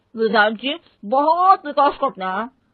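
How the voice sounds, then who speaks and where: Putting on a character voice, a woman mumbles in a high voice whose pitch swings very widely. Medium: cartoon. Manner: mumbled, indistinct through paan.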